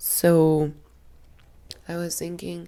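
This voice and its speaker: A woman speaks very slowly, her pitch very deep and low. She has a Spanish accent and a dark, mellow tone. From Colombia. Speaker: fashion designer and vlogger. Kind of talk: casual vlog talk. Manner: halting.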